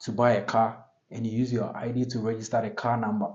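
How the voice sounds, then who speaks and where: A man is speaking. His pace is fairly quick. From Ghana. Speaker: podcast host. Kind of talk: casual monologue podcast. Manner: halting, with restarts.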